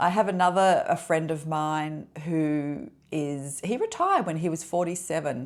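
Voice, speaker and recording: Using an ordinary speaking voice, a woman keeps a moderate pace with ordinary pitch variation and hardly any pauses. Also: fairly low pitch for a woman. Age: 60s. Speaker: lifestyle vlogger. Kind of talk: personal vlog monologue. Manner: conversational, with fillers.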